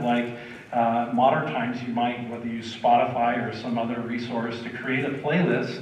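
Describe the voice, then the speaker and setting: Audible room echo surrounds the voice. A man talks at a fairly quick pace. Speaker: pastor. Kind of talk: sermon. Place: church.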